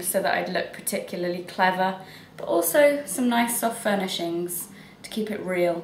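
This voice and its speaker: Audible room echo and noticeable background noise accompany speech at a moderate pace. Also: woman. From England. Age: 20s. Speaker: writer. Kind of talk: casual self-introduction video. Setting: at home in her flat.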